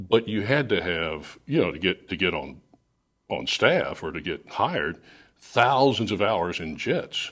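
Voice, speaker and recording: A man with an American accent speaks with very wide pitch swings and big swings in loudness, on a very clean recording with a silent background. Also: fairly slow pace. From Miami, Florida. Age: 60s. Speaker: radio host. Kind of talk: casual chat.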